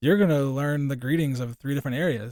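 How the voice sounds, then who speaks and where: In a very clean recording with a silent background, a man with an American accent speaks at a very fast pace with ordinary pitch variation and a dry, close sound with no echo. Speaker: aid organization project manager. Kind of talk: podcast interview. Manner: casual, conversational with fillers.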